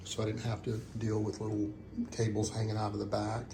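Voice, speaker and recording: Audible room echo surrounds a man speaking at medium pitch with vocal fry. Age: 60s. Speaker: DIY hobbyist. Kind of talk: tutorial. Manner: halting, many fillers; casual.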